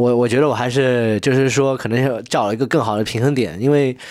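This man's medium-pitched voice shows ordinary pitch variation on a very clean recording with a silent background. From Chengdu, Kunming and Boston. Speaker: musician. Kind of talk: casual interview chat. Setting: host's home study. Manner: animated, mixing English and Chinese.

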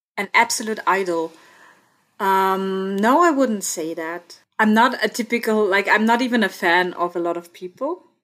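At a moderate pace, a woman with an Austrian accent speaks at a medium pitch with ordinary pitch variation. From Austria, Innsbruck (Tyrol), parents from India. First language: German. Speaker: student and podcast guest. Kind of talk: casual interview chat.

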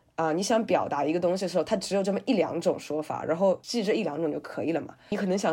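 A woman with a dark, mellow tone speaks at a very fast pace with lively intonation. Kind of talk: podcast interview.

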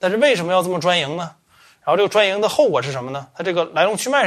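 Words come out at a very fast pace from a man. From Northeast China, Changchun. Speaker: podcast host. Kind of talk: casual chat.

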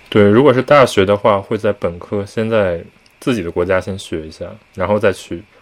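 At a moderate pace, a man talks in an ordinary speaking voice with fairly low pitch. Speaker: podcast co-host. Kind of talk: casual chat.

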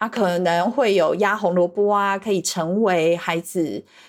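A woman talks at a medium pitch and a fairly slow pace. The recording is very clean, with a silent background. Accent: Taiwanese. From Taiwan. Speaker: Montessori teacher. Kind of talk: casual conversation.

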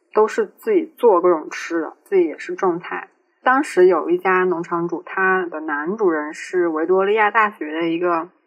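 A woman talks in an ordinary speaking voice at a medium pitch. Her pace is moderate. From Changsha, Hunan, China. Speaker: podcast co-host, student. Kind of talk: casual chat.

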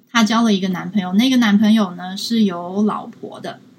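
The voice carries a Taiwanese accent. It moves at a moderate pace with ordinary pitch variation. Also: woman. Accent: Taiwanese Mandarin. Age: 20s. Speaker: social science student and field researcher. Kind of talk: live-stream interview. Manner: halting, many fillers.

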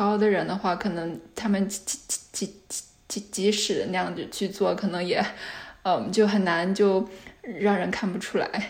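A medium-pitched woman's voice in a flat monotone against noticeable background noise. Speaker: PhD candidate researching stuttering. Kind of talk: interview. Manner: frequent sound and syllable repetitions.

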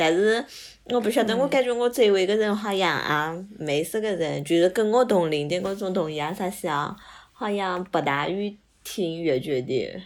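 A medium-pitched woman at a moderate pace, with lively intonation. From Hangzhou, Zhejiang, China. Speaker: podcast guest. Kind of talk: casual chat.

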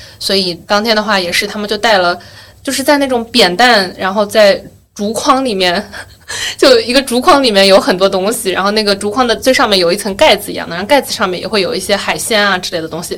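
Over noticeable background noise, a woman talks at a very fast pace with a medium pitch and ordinary pitch variation. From Yueqing, Wenzhou, Zhejiang, China. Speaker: podcast host. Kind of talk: casual chat.

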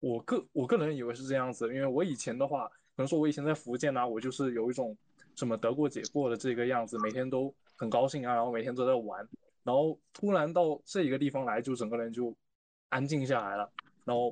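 A man delivers his words very fast at a medium pitch, his pitch varying in an ordinary way. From Fujian, China. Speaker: university student. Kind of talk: casual chat.

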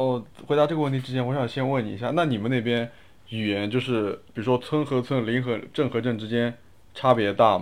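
A man's unremarkable speaking voice, fairly quick and medium in pitch, with fairly even intonation. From Wuxi, Jiangsu, China. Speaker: podcast guest. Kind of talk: casual chat.

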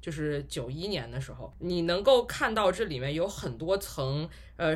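A man's high voice at a fairly slow pace, full of lively intonation. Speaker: podcast host. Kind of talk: casual chat.

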